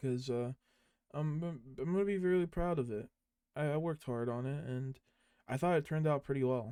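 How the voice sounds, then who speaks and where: A man's serious, dark and mellow voice with long, frequent pauses, dry and close with no echo, in a very clean recording with a silent background. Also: fairly high pitch for a man, ordinary pitch variation, moderate pace. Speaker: podcast host. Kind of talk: casual solo podcast monologue. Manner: serious-sounding delivery; halting, many fillers.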